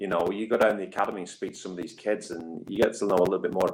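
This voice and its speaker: Talking at a very fast pace, a man speaks in a northern English accent. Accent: northern English, noticeable. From northwest England. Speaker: rugby league head coach. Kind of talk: interview. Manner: hesitant, many fillers and repeats.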